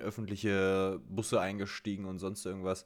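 A man speaks with a fairly low-pitched voice. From Germany. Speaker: podcast co-host. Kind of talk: casual chat. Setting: remote call.

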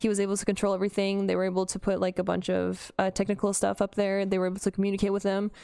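In a Canadian accent, the voice runs at a very fast pace with hardly any pauses, a dark, mellow tone and monotone, flat intonation. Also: woman, medium pitch for a woman. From Canada. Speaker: TikTok creator. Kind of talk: casual chat. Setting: remote call. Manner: giggly.

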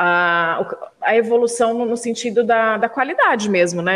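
A woman with an unremarkable speaking voice talks at a moderate pace. Her pitch is fairly high, with ordinary variation. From Brazil, São José dos Campos area, family from Minas Gerais. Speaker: podcast co-host, journalist. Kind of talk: podcast interview.

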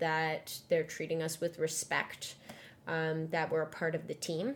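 A woman's low-pitched voice with little pitch movement

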